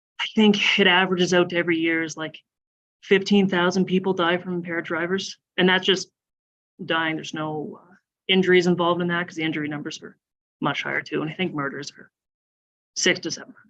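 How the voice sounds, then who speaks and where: In a Nova Scotian accent, the speaker goes at a very fast pace yet takes long, frequent pauses. The intonation is flat and monotone, while the loudness swings widely. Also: woman, fairly low pitch for a woman. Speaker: police officer. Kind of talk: public talk at town hall. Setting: town hall meeting, live streamed.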